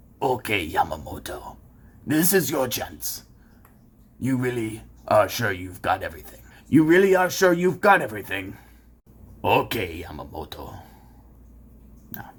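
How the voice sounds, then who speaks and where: A man performs a raspy, cartoonish character voice at medium pitch. He keeps a moderate pace with long, frequent pauses. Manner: stern, hesitant.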